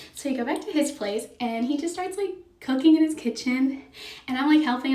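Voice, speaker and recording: Lively intonation carries fairly quick speech over noticeable background noise. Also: woman. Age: 20s. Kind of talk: casual storytime talk to camera. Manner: chatty, casual.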